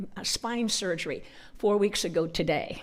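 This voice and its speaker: A woman's medium-pitched voice with a northern US accent. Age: 70s. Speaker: conference speaker. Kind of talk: testimony. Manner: animated.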